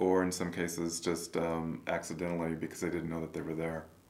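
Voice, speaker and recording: A man's very deep, low voice in an American accent at a fairly quick pace, with audible room echo. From rural Kansas. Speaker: wildlife biology professor. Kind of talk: interview. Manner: halting.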